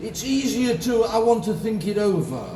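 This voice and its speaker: Over noticeable background noise and audible room echo, a man speaks at a moderate pace with an extremely high pitch. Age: 70s. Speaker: insurance advisor and conference speaker. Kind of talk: motivational keynote speech.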